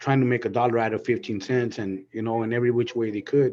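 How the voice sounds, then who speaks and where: Fairly quick and fairly even in intonation, the speaker talks with an American accent. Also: man. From Southern California. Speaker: panelist sharing personal testimony. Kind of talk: testimony. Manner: halting, repetitive.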